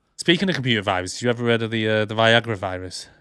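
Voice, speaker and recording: Ordinary pitch variation in a man's voice at a medium pitch. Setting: stage comedy. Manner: joking, stand-up delivery.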